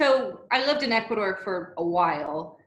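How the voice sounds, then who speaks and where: Audible room echo surrounds a woman talking with an American accent. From US. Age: 20s. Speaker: expat guest speaker. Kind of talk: webinar chat.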